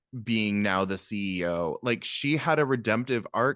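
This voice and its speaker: With an American accent and a fairly low pitch, a man speaks against a quiet background in a dry, close sound with no echo. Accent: Seattle accent, surfaces occasionally. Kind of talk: casual podcast conversation.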